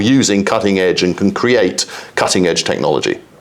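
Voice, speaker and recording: A man rattles along at a very fast pace while noticeable background noise carries on. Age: 60s. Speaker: exchange chief executive. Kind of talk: interview.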